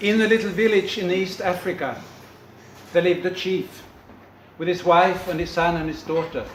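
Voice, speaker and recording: A man's high voice at a moderate pace, fairly even in intonation, over noticeable background noise. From Sweden. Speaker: storyteller. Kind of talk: storytelling, folktale performance to an audience.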